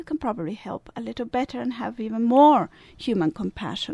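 A woman speaks with a Swiss Italian accent at a moderate pace. Her pitch swings very widely. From Italian-speaking Switzerland. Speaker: service club representative. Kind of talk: interview.

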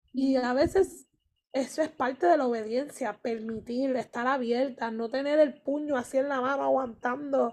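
Over a quiet background, a woman talks at a fairly slow pace, her high pitch moving with ordinary variation. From Puerto Rico. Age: 30s. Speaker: youth ministry leader and English teacher. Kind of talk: casual faith podcast chat and testimony.

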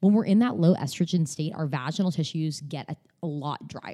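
Her tone dark and mellow, a woman talks at a fairly quick pace with a fairly low pitch and ordinary pitch variation. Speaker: pelvic floor physical therapist. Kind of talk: interview. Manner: fast.

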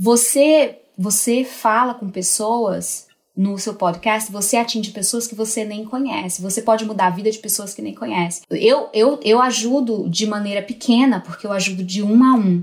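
A woman talks at a moderate pace with hardly any pauses, using a fairly high pitch, ordinary pitch variation and a somewhat breathy quality. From Brazil, Northeast (Natal, Rio Grande do Norte). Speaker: newborn care specialist. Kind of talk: casual interview.

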